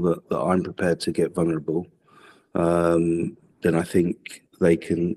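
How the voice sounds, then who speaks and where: With a dark, mellow tone and a very deep, low pitch, a man talks at a moderate pace in a dry, close sound with no echo. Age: 40s. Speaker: football academy coach. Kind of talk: podcast interview.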